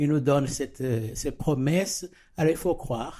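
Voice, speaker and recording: The tone of this man's voice is dark and mellow. He speaks fairly slowly. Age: 60s. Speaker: church member sharing faith. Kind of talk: testimony. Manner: halting.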